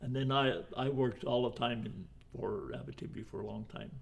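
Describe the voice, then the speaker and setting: Vocal fry marks a man's voice at medium pitch. He speaks at a moderate pace with ordinary pitch variation. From Saskatchewan, Canada (Finnish family). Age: 90s. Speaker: retired woodcutter and foreman, immigrant elder. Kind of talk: oral history interview.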